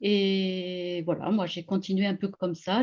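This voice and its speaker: A woman's voice at a medium pitch. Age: 60s. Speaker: energy healer. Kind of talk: interview on live video call. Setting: video call. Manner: hesitant, many fillers.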